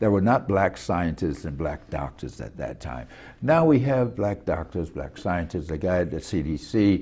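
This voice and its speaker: Vocal fry runs through a dark, mellow tone that swings very widely in pitch at a moderate pace. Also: man, very deep, low pitch for a man. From US South, Macon, Georgia. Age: 70s. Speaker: former mayor. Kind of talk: interview.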